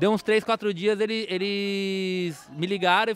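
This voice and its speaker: The sound is dry, with no echo. A man speaks at a high pitch with fairly even intonation. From São Paulo city, Brazil; Brazil. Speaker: football assistant coach. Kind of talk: casual interview chat; interview answer. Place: hall. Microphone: studio mic.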